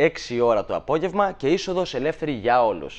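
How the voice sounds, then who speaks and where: A man speaks at a fairly high pitch with vocal fry. His pitch swings very widely. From Greece, Thessaly (Volos); Greece. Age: 20s. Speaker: shadow puppeteer; guest. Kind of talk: TV interview. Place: studio. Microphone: lapel.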